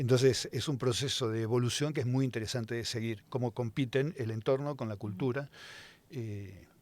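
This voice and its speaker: Pitch moves in an ordinary way as the speech keeps to a moderate pace. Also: man, medium pitch for a man. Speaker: scientist. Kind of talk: casual chat. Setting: studio. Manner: hesitant, many fillers.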